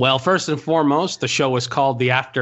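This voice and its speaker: A man's fairly even intonation is heard with noticeable background noise underneath. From Montreal, Quebec. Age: 30s. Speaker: podcast host. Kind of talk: casual chat.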